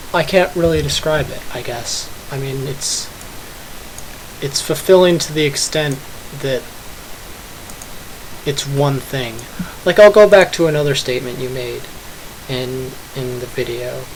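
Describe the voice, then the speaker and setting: A man speaks at a fairly slow pace with long, frequent pauses and ordinary pitch variation. His loudness swings widely over noticeable background noise. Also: fairly high pitch for a man. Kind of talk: casual talk to camera. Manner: hesitant, stuttering.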